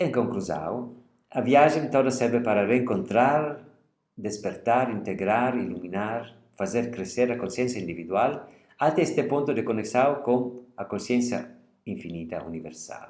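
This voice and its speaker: A man speaks with an Italian accent at a fairly slow pace and a medium pitch. His intonation is lively, with vocal fry and audible room echo. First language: Italian (speaking Portuguese). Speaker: literature lecturer. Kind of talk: lecture; reading aloud.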